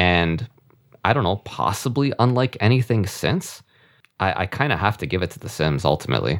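In a very clean recording with a silent background, a man with a fairly low pitch and vocal fry talks at a fairly quick pace, his pitch swinging very widely. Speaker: guest podcaster. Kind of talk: casual chat.

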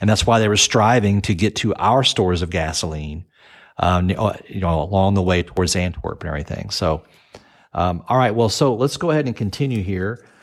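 This man uses an ordinary speaking voice with a fairly low pitch. He talks at a fairly quick pace with ordinary pitch variation. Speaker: podcast co-host. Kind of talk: casual chat.

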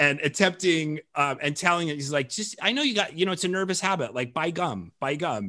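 A man with an American accent, a fairly high pitch, a bright, sharp tone, lively intonation and a fairly quick pace. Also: hardly any pauses. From Colorado, US. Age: 40s. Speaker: film director and podcast host. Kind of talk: casual chat.

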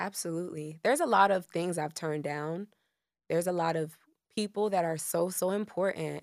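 A normal speaking voice with an American accent moves at a fairly quick pace with fairly even intonation, in a very clean recording with a silent background. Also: woman, fairly low pitch for a woman. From Miami, Florida. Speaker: singer-songwriter. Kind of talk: casual chat.

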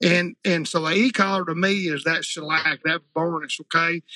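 A man talks at a fairly quick pace with a Southern US accent. His pitch is high, and the sound is dry and close with no echo. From Arkansas. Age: 50s. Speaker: retriever trainer. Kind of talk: casual chat.

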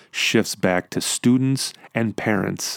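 An animated tone at a fairly slow pace, in a dry, close sound with no echo. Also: man. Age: 40s. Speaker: podcast host. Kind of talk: solo podcast monologue.

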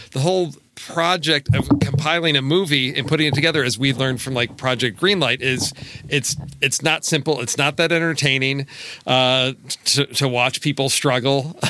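Noticeable background noise sits under speech that moves at a moderate pace with fairly even intonation. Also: man, fairly high pitch for a man. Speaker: podcast co-host. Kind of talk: casual chat.

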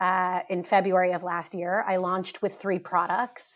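Over a quiet background, a woman with an American accent talks fairly slowly in a bright, sharp tone with monotone, flat intonation. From US East Coast. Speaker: skincare entrepreneur. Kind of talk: interview. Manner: hesitant with fillers.

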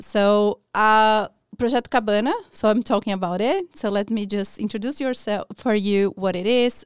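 In a Portuguese accent, a woman speaks at a fairly high pitch with ordinary pitch variation and a moderate pace, in a dry, close sound with no echo on a very clean recording with a silent background. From Brazil, São Paulo. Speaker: early childhood educator. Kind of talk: radio interview. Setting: studio.

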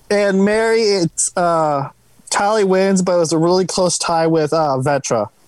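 Speaking at a fairly slow pace, a woman has an ordinary speaking voice, fairly low in pitch, with ordinary pitch variation and very even loudness. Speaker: panel participant, gaming fan. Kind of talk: casual chat.

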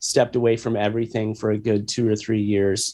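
With a Midwestern American accent, a man speaks at a medium pitch. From US Midwest, Missouri. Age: 40s. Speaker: rock musician. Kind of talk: interview.

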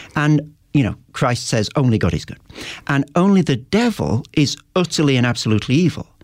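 A man speaks with vocal fry at a fairly high pitch. His pitch swings very widely. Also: moderate pace. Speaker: professor and author. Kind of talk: interview.

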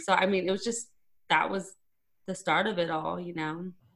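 Someone with an American accent talks at a fairly quick pace in a normal speaking voice with ordinary pitch variation. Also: woman. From Arizona, small town. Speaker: radio host. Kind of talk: casual interview chat. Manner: talkative, fast.

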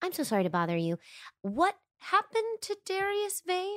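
Putting on a squeaky character voice at an extremely high pitch, a woman talks at a moderate pace in a dry, close sound with no echo, on a very clean recording with a silent background. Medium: actual play. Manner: polite.

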